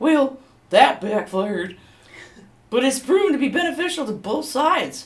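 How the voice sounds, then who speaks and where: A put-on character voice, high in pitch, at a moderate pace with long, frequent pauses. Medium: stage play. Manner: hesitant, stammering with many uhs.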